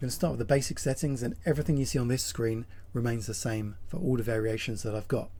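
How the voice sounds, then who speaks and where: Very fast and somewhat breathy, a man's words pour out. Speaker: sim racing content creator. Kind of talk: tutorial talk to camera. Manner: casual.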